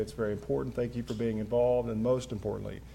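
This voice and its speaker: A man with an Appalachian accent, medium pitch and fairly even intonation. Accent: Appalachian Kentucky. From Kentucky mountains. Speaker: local official hosting event. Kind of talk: public speech. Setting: city hall with audience.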